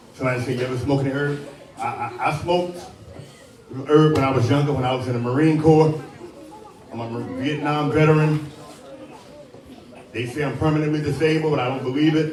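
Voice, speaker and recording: Talking at a very fast pace with long, frequent pauses, a man with an American accent uses a fairly high pitch and fairly even intonation, with noticeable background noise and audible room echo. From US Midwest, Cincinnati (Avondale). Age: 60s. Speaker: pastor, homicide chaplain, Vietnam veteran. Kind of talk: motivational talk to youth audience.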